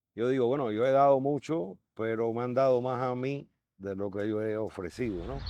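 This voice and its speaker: In a quiet setting, a man with a Cuban accent speaks at a moderate pace in a dark, mellow tone with ordinary pitch variation. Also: medium pitch for a man. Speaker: artist. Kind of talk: interview testimony.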